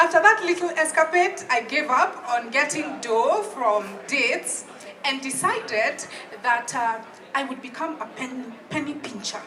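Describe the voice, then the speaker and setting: A woman with a Kenyan accent talks at a fairly slow pace in a high pitch, her voice raised and projected. Her intonation is lively, with music playing in the background. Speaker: public speaking coach and storyteller. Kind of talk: live comedic storytelling monologue. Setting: live open mic, audience.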